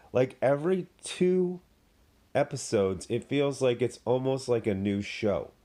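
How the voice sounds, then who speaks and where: Dark, mellow tone from a man, fairly slow pace and lively intonation. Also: medium pitch for a man, very even loudness. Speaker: TV show reviewer. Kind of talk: casual review vlog. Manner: halting, with fillers.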